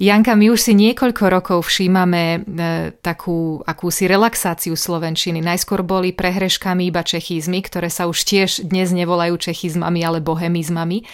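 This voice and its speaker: A woman speaks at a moderate pace in an unremarkable speaking voice, her pitch fairly low and her intonation fairly even. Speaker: radio host. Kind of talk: radio interview.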